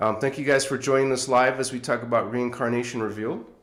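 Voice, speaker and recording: Audible room echo around a man talking at a moderate pace and a medium pitch. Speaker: spiritual livestream host. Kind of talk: live stream chat. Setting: live stream. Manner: halting.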